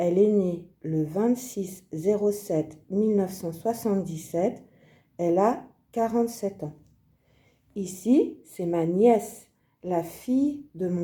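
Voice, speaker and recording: On a very clean recording with a silent background, a woman speaks at a very slow pace and medium pitch with ordinary pitch variation. Her tone is dark and mellow, and somewhat breathy. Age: 50s. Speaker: video creator presenting her family. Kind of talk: scripted presentation, like a language-learning exercise. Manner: slow, deliberate.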